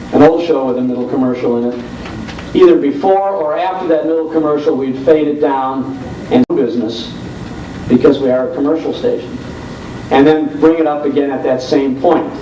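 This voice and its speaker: A man's fairly high voice at a moderate pace, with ordinary pitch variation over noticeable background noise. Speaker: old-time radio host. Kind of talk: panel discussion talk about radio broadcasting.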